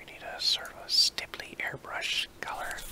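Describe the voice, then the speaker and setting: Someone whispers over noticeable background noise. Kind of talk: ASMR drawing tutorial. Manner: whispered.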